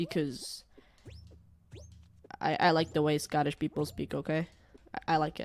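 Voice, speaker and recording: A woman's very deep, low voice with an American accent and vocal fry, at a moderate pace with long, frequent pauses. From Portugal. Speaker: gaming streamer. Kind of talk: casual live-stream chat. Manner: rambling, animated.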